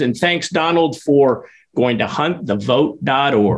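An ordinary speaking voice from a man, with lively intonation at a fairly slow pace. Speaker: podcast host. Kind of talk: casual interview chat.

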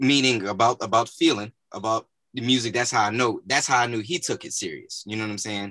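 A man with an American accent, medium pitch, a bright, sharp tone, fairly even intonation and a fairly quick pace, in a dry, close sound with no echo over a quiet background. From north Louisiana (318 area). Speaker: podcast host. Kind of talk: casual interview.

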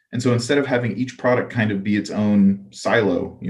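With an American accent, a man rattles off words at a very fast pace, his fairly low voice showing vocal fry and lively intonation. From US South, Gainesville, Florida. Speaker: software engineer. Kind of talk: casual chat. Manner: casual.

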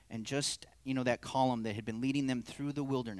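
Fairly even intonation in plain reading aloud

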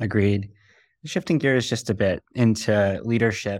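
Recorded very cleanly against a silent background, a man with an unremarkable speaking voice talks at a medium pitch with fairly even intonation, the sound dry and close with no echo. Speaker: podcast interviewer. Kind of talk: interview questions, scripted intro.

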